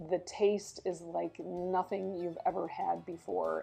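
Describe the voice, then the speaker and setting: A woman at a fairly slow pace, her pitch medium for a woman. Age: 60s. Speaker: founder of a draft horse rescue and farmer. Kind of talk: interview. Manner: many fillers and restarts.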